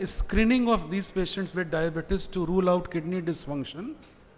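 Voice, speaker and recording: A man with a high voice and ordinary pitch variation talks at a moderate pace while noticeable background noise plays behind him. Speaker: physician. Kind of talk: lecture.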